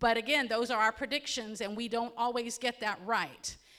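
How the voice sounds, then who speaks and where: Speaking at a moderate pace with a Central Florida accent, the voice has a bright, sharp tone. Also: woman. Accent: Polk County, Florida. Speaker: county emergency management presenter. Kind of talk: community presentation. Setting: hall with audience. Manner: conversational, engaging audience.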